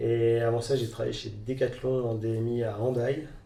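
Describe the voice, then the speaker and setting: A man speaks at a medium pitch, somewhat breathy, with a dark, mellow tone. His intonation stays monotone and flat, and the room echo is audible. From Normandy, France (Rouen area). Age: 30s. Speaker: entrepreneur, clothing brand founder. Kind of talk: interview. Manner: halting, many fillers.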